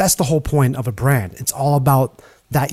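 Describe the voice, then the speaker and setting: Speaking at a moderate pace, a man has a plain, everyday voice with a fairly high pitch and ordinary pitch variation. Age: 40s. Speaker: content strategist and video producer. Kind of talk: interview conversation. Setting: remote call.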